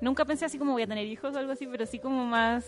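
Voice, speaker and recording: A woman speaks very fast with a Chilean accent. Her pitch varies in an ordinary way. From central Chile, Curicó area. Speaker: podcast co-host. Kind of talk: casual chat.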